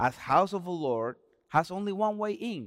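Speaking with a Spanish accent, a man moves through very wide pitch swings. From Dominican Republic. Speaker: pastor. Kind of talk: sermon. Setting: church with congregation. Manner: halting.

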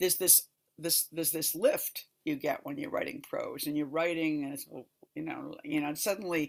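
With vocal fry and fairly even intonation, a woman speaks at a moderate pace in a low pitch.

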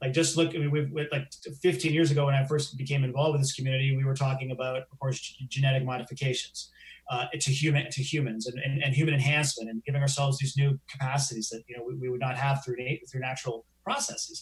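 A man with a Canadian accent speaks very fast at a fairly high pitch, his intonation monotone and flat. His voice is somewhat breathy. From Canada. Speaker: science journalist. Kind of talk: live interview chat. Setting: live stream.

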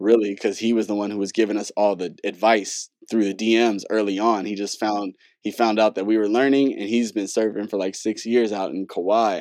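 Over a quiet background, a man with an American accent speaks fairly quickly in a fairly low, monotone voice with flat intonation. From Southern California (Carson, LA area). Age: 20s. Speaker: DJ and music producer. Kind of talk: casual interview conversation.

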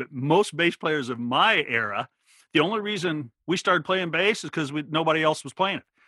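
A man talks at a very fast pace with an American accent. His fairly high pitch swings very widely. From Oregon, rural. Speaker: bass teacher and YouTuber. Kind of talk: interview. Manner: animated.

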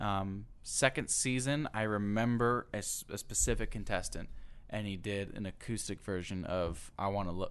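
This man has an ordinary speaking voice, a fairly low pitch and a moderate pace. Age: 20s. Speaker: guest, former singing competition contestant. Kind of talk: casual interview.

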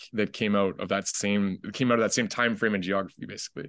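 In a Canadian accent, a man with a plain, everyday voice speaks at a fairly low pitch with fairly even intonation against a quiet background. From Canada, Ottawa (raised there from age five). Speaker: documentary filmmaker. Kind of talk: casual interview.

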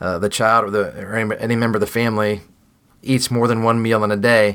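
A man talks at a moderate pace and medium pitch. It is a plain, everyday voice. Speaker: food packing ministry director. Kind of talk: casual interview.

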